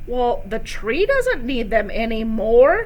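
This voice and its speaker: A woman does a put-on character voice at a high pitch. She goes fairly slowly, with clear background noise. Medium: read story. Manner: brisk, offhand.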